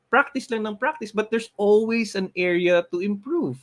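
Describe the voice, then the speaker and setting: A man with a Filipino accent speaks at a moderate pace with a high pitch. The recording is very clean with a silent background and a dry, close sound with no echo. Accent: Cebuano-accented English. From Philippines, Cebu. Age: 40s. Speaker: motivational show host. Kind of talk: motivational talk in Taglish.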